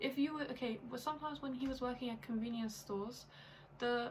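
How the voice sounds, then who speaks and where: Someone with an English accent talks at a fairly quick pace against noticeable background noise. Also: woman. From England, London. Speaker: YouTuber in international couple. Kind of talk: casual chat. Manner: animated, frequent 'like' fillers.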